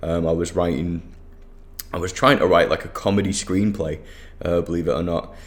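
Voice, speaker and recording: A man with a very deep, low voice speaks at a fairly quick pace, though with long, frequent pauses. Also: ordinary pitch variation. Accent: Mancunian. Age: 30s. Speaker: digital marketing agency owner. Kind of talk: solo podcast monologue. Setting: office. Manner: casual, many fillers.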